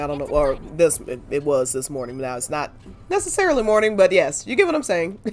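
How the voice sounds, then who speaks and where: A mumbling woman at a fairly quick pace, lively intonation and big swings in loudness, with music in the background. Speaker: gaming streamer. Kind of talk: let's play commentary.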